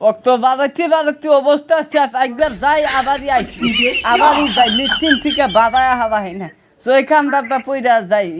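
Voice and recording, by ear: A woman's high voice at a fairly quick pace, with few pauses and ordinary pitch variation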